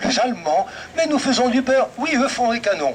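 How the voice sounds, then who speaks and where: Over noticeable background noise, a man speaks at an extremely high pitch with lively intonation. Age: 80s+. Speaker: vintage car commentator. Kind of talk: live commentary to audience.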